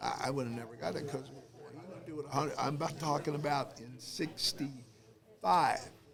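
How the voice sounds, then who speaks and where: A man with an American accent at a fairly high pitch and moderate pace, ordinary pitch variation, big swings in loudness, hardly any pauses and audible room echo. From Detroit, Michigan, US. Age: 80s+. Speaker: war veteran. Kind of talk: interview.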